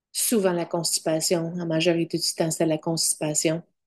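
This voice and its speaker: Against a quiet background, a woman's dark, mellow tone comes through at a fairly slow pace. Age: 50s. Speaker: vlogger sharing diet experience. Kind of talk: personal testimony vlog. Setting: at home in front of computer. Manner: halting, searching for words.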